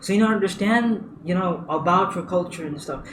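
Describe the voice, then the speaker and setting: With ordinary pitch variation and a fairly quick pace, the speech comes through audible room echo and noticeable background noise. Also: man. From India. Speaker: user experience designer. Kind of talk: tutorial. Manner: halting, many fillers and repeats.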